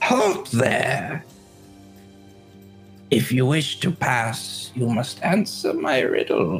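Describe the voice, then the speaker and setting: A man uses a put-on, raspy character voice, fairly high in pitch and very slow. Clear music plays in the background. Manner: commanding, blocking the way.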